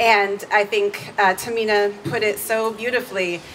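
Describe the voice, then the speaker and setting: Through noticeable background noise, a woman at a medium pitch speaks at a very slow pace with monotone, flat intonation. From San Francisco Bay Area, California. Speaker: college instructor. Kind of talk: protest rally speech. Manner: halting, many fillers.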